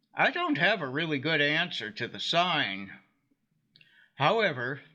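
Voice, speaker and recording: A man's fairly high voice with vocal fry, lively intonation and a fairly slow pace. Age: 80s+. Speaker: commentary video maker. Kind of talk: scripted narration.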